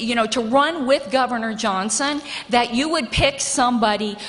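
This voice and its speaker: Pitched high, a woman speaks at a moderate pace with ordinary pitch variation. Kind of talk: nomination speech. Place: hall. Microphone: podium.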